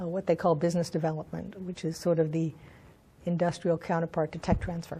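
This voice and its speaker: A woman's fairly low, somewhat breathy voice with a dark, mellow tone, a fairly quick pace and monotone, flat intonation. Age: 70s. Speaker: sex educator and counselor. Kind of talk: interview. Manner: halting, with fillers.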